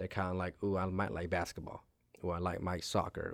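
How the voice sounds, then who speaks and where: On a very clean recording with a silent background, a man with an American accent and a very deep, low pitch talks at a fairly quick pace. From Maryland, Montgomery County (Silver Spring), then Frederick County. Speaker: semi-pro soccer coach and team owner. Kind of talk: interview.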